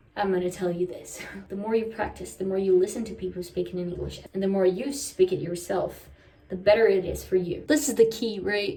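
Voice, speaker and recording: A woman's dark, mellow, somewhat breathy voice at a fairly quick pace, with big swings in loudness. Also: medium pitch for a woman, ordinary pitch variation. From Brazil. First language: Portuguese. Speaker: vlogger. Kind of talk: casual chat. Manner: casual, chatty.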